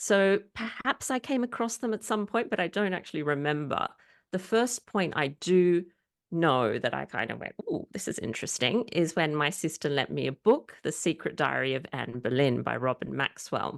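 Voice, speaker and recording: With an Australian accent and vocal fry, a woman speaks with very wide pitch swings against a quiet background. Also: fairly low pitch for a woman, moderate pace. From Australia, Sydney. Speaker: historian and author. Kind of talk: interview.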